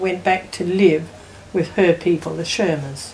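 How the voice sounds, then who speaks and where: Over noticeable background noise, a woman with an Australian accent speaks at a fairly slow pace, her medium pitch held in fairly even intonation. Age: 80s+. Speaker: family elder. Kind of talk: family oral history interview.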